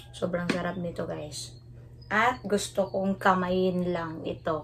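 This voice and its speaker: Through noticeable background noise, a woman speaks at a very slow pace. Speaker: food vlogger. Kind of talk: casual vlog chat. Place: home room. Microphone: phone near.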